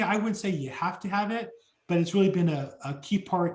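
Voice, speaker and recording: A man with a Californian accent, fairly quick pace and ordinary pitch variation. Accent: General American (Californian). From Southern California (Orange County). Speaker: real estate agent. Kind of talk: interview. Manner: fast.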